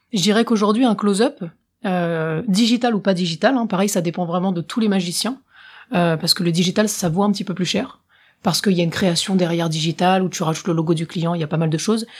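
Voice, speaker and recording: A woman speaks at a very fast pace in a somewhat breathy voice, on a very clean recording with a silent background. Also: medium pitch for a woman, ordinary pitch variation. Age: 20s. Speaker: professional magician. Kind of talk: casual interview.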